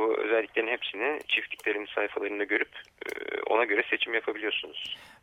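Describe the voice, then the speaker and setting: A man talks at a very fast pace. His loudness is very even throughout. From Turkish city. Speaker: ecological farming network coordinator. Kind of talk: radio interview. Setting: phone call. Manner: halting, many fillers.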